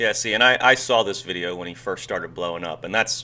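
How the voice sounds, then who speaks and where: Speaking at a fairly quick pace in an American accent, a man uses a bright, sharp tone and fairly even intonation on a very clean recording with a silent background. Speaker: goalkeeper coach, former professional goalkeeper. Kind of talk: casual chat, video reaction. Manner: monotone.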